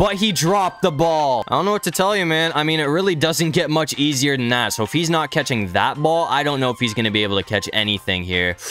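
At a very fast pace with hardly any pauses, the speech has a dry sound with no echo and faint music in the background. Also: man. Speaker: gaming video creator. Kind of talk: gameplay commentary. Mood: casual, mildly frustrated. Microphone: studio mic.

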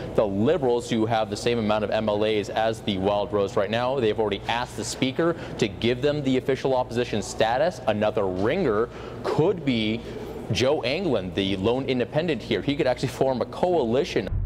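At a fairly quick pace, a man speaks with ordinary pitch variation over noticeable background noise. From Canada. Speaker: news reporter. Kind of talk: live TV news reporting and reporter packages.

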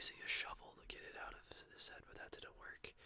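Here a man is heard whispering. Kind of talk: casual vlog chat, retelling a story. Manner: soft, close ASMR storytelling voice. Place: home room. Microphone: webcam.

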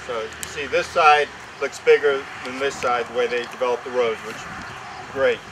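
A man at a moderate pace with fairly even intonation, over noticeable background noise. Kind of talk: ceremony speech. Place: open country. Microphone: podium.

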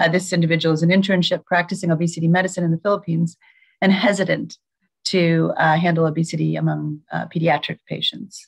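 Against a quiet background, a somewhat breathy woman with a fairly low pitch speaks very fast in a flat monotone with very even loudness. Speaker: nonprofit chief executive moderating a webinar; webinar moderator. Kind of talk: webinar moderation. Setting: video call. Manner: frequent fillers, hesitant. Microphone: video call.

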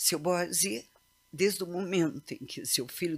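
A woman is speaking. Her pace is very slow. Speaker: older participant who knew the family. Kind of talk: consoling remarks. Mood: earnest, warm, reminiscing. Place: meeting room. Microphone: podium.

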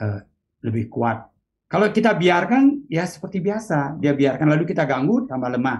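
This man's somewhat breathy voice makes very wide pitch swings as he talks at a moderate pace. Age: 60s. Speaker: meditation teacher; meditation teacher, guest. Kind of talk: interview. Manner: halting. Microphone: video call.

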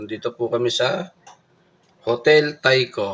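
This man's medium-pitched voice shows ordinary pitch variation. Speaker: vlogger. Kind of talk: casual vlog narration.

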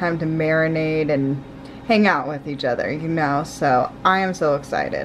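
Music behind a woman's moderately paced voice. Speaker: vlogger. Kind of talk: casual vlog chat. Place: kitchen. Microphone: phone near.

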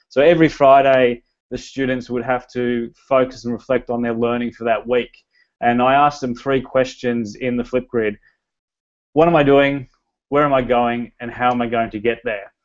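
With an Australian accent, a man talks at a moderate pace with fairly even intonation against a quiet background. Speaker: teacher, learning technology director. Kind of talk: educational presentation. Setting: video call. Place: home room. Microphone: earbuds.

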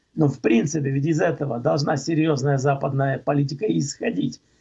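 The background stays quiet. Some breathiness runs through the voice. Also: man. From Czech Republic. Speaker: political commentator. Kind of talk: radio talk show discussion. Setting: phone call. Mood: critical, indignant. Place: home room. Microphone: video call.

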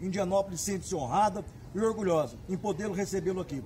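A man's high voice at a moderate pace with ordinary pitch variation over loud background noise. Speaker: rodeo announcer. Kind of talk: event announcer promo. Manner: energetic, enthusiastic. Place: street. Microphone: phone near.

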